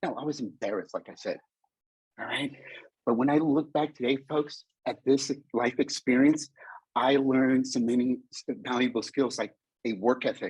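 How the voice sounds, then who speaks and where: A man speaks at a moderate pace. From California Bay Area, Mexican family. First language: Spanish. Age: 50s. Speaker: motivational speaker. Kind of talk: conference talk. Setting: virtual conference. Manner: animated.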